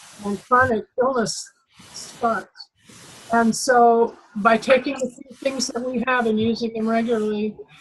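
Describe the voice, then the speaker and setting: Speaking at a fairly slow pace, a woman has a fairly high pitch and monotone, flat intonation. Her loudness swings a lot. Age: 70s. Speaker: customer testimonial speaker. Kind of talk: testimony.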